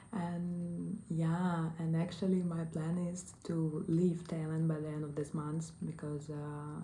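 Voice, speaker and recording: Somewhat breathy and dark, mellow in tone, a woman speaks with a Russian accent in a monotone, flat intonation, with audible room echo around her. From Russia, small provincial town. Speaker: online English teacher and travel vlogger. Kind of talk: casual vlog monologue. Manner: hesitant, many fillers.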